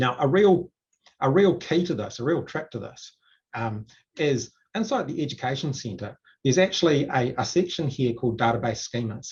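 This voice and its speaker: A man speaks at a medium pitch with a somewhat breathy voice. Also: lively intonation. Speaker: software consultant. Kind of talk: tutorial. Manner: fast.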